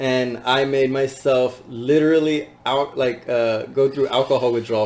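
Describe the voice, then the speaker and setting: This man's voice sits at a medium pitch, with fairly even intonation. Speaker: podcast host. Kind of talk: casual chat. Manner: fast.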